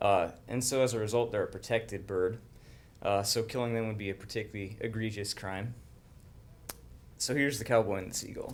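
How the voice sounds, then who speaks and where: The delivery is fairly quick and fairly even in intonation, broken up by long, frequent pauses. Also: man, medium pitch for a man. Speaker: agriculture specialist. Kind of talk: casual humorous talk to audience.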